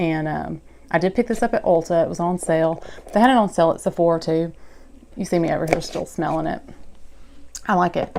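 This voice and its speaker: A woman with an American accent speaks in a fairly low voice with a dark, mellow tone and ordinary pitch variation. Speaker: beauty vlogger. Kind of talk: product haul review. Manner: casual, chatty.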